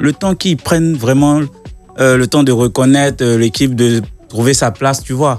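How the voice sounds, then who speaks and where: Speech comes at a fairly slow pace with very even loudness. Music plays in the background. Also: man. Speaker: radio DJ. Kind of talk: casual radio banter.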